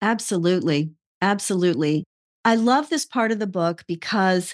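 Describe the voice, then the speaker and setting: A woman's unremarkable speaking voice at a medium pitch, with ordinary pitch variation and a moderate pace, over a quiet background. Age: 60s. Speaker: podcast host. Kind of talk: casual interview conversation.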